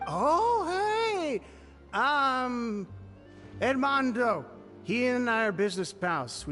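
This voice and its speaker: A man's put-on character voice, raised and projected, extremely high in pitch with very wide swings, very slow with long, frequent pauses, over clear music in the background. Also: very even loudness. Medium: video game. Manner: jovial, loose, chummy.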